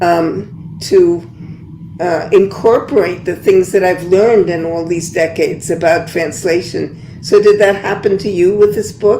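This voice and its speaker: Amid noticeable background noise, a woman with an American accent speaks at a fairly slow pace, her pitch medium and her pitch variation ordinary. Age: 80s+. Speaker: poet and translator. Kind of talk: panel discussion.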